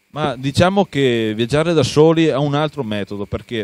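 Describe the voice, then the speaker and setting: Recorded dry with no echo, a man talks at a moderate pace with lively intonation. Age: 30s. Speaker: traveler, explorer; talk show guest. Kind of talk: interview. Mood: enthusiastic, a little secretive. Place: studio. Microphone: handheld.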